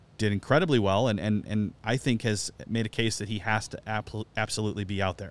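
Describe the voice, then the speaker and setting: A man with an ordinary speaking voice talks at a fairly quick pace with hardly any pauses. His pitch is fairly low and his intonation fairly even. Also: very clean recording, silent background. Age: 40s. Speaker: soccer podcast co-host. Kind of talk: casual chat.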